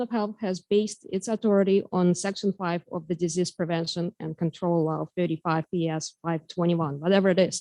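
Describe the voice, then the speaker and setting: Here a woman with a Russian accent and a dark, mellow tone talks at a moderate pace with ordinary pitch variation, her voice dry and close with no echo over a quiet background. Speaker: member of the public giving comment. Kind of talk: public comment at school board meeting. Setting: meeting hall with microphone. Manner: halting. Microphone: too quiet, not speaking into microphone.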